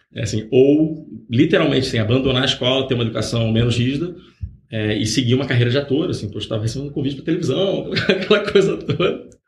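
A man with a medium pitch talks at a very fast pace with lively intonation. Room echo is audible. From Rio de Janeiro, Brazil. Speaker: startup founder, former executive. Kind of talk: interview. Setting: podcast.

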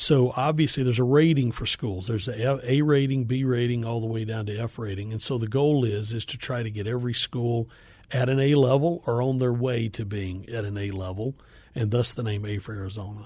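Against a quiet background, a man with an American accent speaks at a fairly quick pace in a dark, mellow, somewhat breathy tone, at a medium pitch with ordinary pitch variation. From US South, Appalachian northeast Georgia. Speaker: education nonprofit executive. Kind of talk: radio interview.

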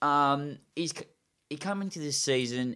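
A medium-pitched man with an Australian accent on a very clean recording with a silent background. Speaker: football podcast co-host. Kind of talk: casual chat.

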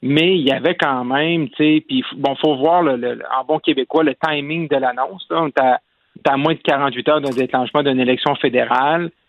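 His pitch sits fairly high for a man. The intonation stays fairly even as he talks. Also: moderate pace. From Quebec, Lac-Saint-Jean (Roberval). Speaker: political commentator. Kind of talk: political analysis.

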